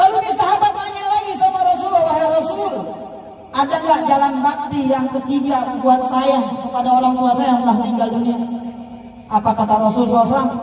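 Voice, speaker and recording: Amid noticeable background noise and audible room echo, a man with a slight Bekasi accent speaks very fast at an extremely high pitch, with an animated tone and lively intonation. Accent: slight Bekasi dialect picked up. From Jakarta (Kedoya, Betawi area). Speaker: Islamic preacher. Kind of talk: sermon. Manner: animated storytelling.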